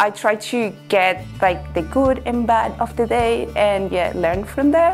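With a Venezuelan accent, a woman speaks at a moderate pace in an upbeat tone and lively intonation while faint music plays in the background. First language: Spanish. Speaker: portfolio facilities manager. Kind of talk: corporate employee profile interview answer. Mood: cheerful, upbeat. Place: office. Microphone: lapel.

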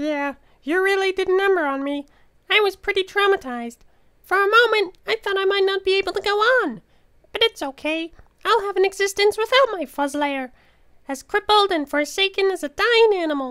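An extremely high-pitched, put-on character voice at a fairly quick pace. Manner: melodramatic, self-pitying but cheerful.

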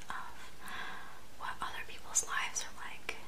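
A soft-spoken woman is whispering. Light background noise is present. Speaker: video creator. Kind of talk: intimate comforting address to viewer. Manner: soft, close whispered comforting talk. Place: home room. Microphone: phone near.

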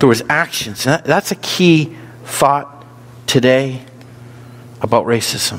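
A man with an American accent, talking at a very slow pace. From US North. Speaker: pastor. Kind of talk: sermon. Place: church.

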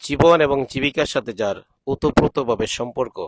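This man speaks in a normal speaking voice at a medium pitch. His intonation is fairly even. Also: dry, close sound with no echo. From Bangladesh, Brahmanbaria (Nabinagar). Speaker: vlogger and Islamic cleric. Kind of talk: travel vlog narration. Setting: outdoors in rice fields.

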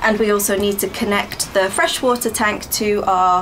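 Music plays in the background as a woman talks. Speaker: van build vlogger. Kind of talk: casual vlog chat. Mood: excited. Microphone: camera far.

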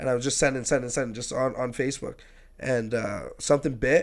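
The speech runs at a very fast pace over a quiet background. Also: man. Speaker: podcast guest. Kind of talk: interview answer. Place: studio. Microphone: studio mic.

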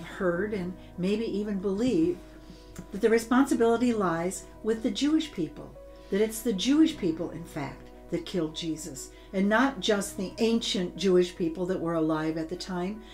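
The speaker talks at a moderate pace. Behind the voice, faint music plays. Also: woman. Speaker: teacher. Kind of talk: teaching talk. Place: home room.

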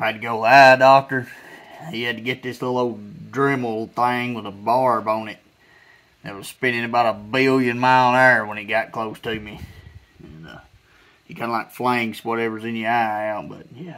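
A man's bright, sharp voice at a moderate pace, with fairly even intonation. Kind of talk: casual workshop tutorial chat. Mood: earnest safety advice. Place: garden.

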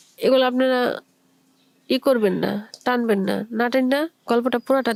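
The intonation is fairly even. The sound is dry and close, with no echo. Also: woman, very even loudness. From Bangladesh, Chittagong. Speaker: storyteller. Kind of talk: personal story monologue.

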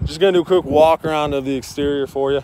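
A man talks with fairly even intonation, the sound dry with no echo and noticeable background noise. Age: 20s. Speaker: car salesman. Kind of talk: sales pitch. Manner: casual. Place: street. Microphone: phone near.

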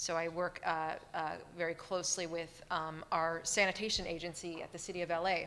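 A woman with a bright, sharp tone talks at a moderate pace. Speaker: panel moderator. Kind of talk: panel introduction. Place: hall. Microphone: podium.

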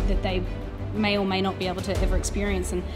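A woman's voice over clear background music. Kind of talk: casual interview chat. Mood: warm, admiring, playful. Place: studio.

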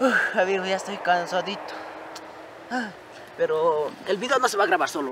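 A man speaks at a high pitch with lively intonation and a moderate pace, leaving long, frequent pauses. The sound is dry with no echo, though background noise is noticeable. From Ecuador, rural highlands. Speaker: vlogger. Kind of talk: casual vlog narration. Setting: outdoors. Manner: animated. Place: open country.

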